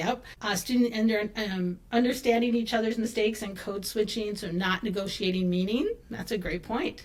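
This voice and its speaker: A woman's fairly high voice, a normal speaking voice, at a moderate pace with hardly any pauses and fairly even intonation. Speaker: language teaching consultant. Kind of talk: webinar presentation.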